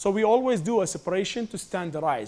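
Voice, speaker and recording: A man with a non-native accent, lively intonation and a fairly quick pace. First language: not English. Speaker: food science professor. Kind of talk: lecture.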